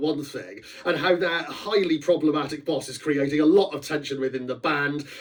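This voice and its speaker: Noticeable background noise sits behind a man's voice. He speaks at a moderate pace with a fairly high pitch. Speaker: author. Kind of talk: casual talk about his book.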